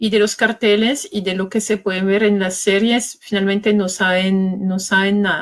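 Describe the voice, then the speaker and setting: A woman with a French accent at medium pitch, moderate pace, monotone, flat intonation and hardly any pauses. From France. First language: French (speaking Spanish). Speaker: journalist and author. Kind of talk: interview. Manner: halting.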